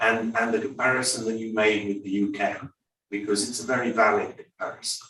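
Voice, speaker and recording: A man with an English accent speaks at a medium pitch and a fairly quick pace. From England. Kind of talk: panel discussion comment. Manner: animated.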